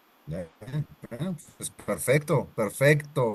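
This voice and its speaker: A man speaks with a Spanish accent at a very slow pace. His voice is somewhat breathy. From Colombia. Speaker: Spanish teacher. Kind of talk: online language class. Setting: live video session.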